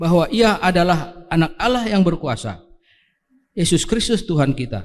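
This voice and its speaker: With audible room echo around him, a man with a high pitch speaks at a moderate pace and with lively intonation. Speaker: scripture reader in church. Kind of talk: scripture reading. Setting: church service, livestreamed.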